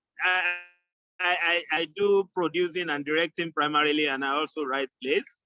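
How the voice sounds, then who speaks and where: Over music in the background, a man with a fairly high pitch speaks with ordinary pitch variation. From Nigeria. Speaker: theatre maker. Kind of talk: casual group discussion.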